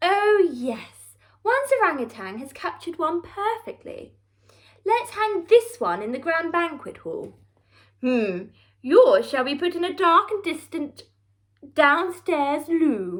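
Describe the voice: In a put-on character voice, a woman speaks slowly at an extremely high pitch, her fairly bright tone moving through big pitch swings.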